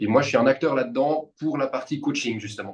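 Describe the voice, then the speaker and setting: A man at a moderate pace, with ordinary pitch variation and a plain, everyday voice. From Switzerland, Vevey region (French-speaking). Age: 30s. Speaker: personal trainer. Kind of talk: casual interview conversation.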